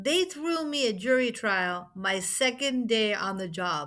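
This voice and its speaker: In a Brooklyn accent, a woman talks with lively intonation and a bright, sharp tone. The recording is very clean, with a silent background. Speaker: lawyer and podcast host. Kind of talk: interview podcast.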